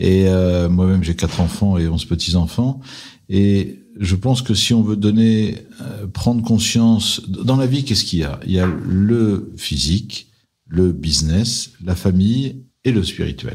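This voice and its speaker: At a fairly slow pace, a man speaks in a plain, everyday voice with a fairly low pitch and ordinary pitch variation. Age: 60s. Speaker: private equity investor. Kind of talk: interview.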